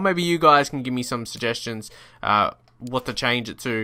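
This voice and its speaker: Recorded very cleanly against a silent background, a man with an Australian accent speaks in a bright, sharp tone. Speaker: gaming YouTuber. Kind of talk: gameplay commentary. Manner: animated.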